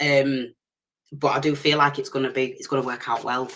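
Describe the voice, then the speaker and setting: Speech comes at a fairly quick pace with a strong Leeds accent. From northern England, Leeds. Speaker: tarot reader. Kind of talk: live stream tarot reading. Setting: live stream. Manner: fast; loud at times.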